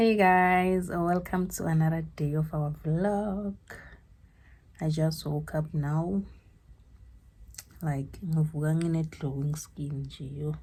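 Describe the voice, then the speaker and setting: A woman speaks quietly and very slowly, with long, frequent pauses and a somewhat breathy voice. Her pitch is very deep and low for a woman, with fairly even intonation. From South Africa. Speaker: vlogger. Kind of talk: casual vlog. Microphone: no microphone, poor sound.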